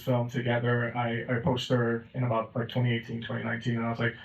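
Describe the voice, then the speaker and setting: A man talks at a medium pitch while noticeable noise runs in the background. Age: 30s. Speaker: film director. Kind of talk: festival Q&A.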